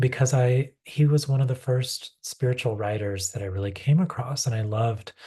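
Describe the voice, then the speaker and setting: A man with a medium-pitched, dark and mellow voice, somewhat breathy, speaks in a calm tone with ordinary pitch variation against a quiet background. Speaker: poet. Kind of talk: poetry reading with commentary. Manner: calm, unhurried.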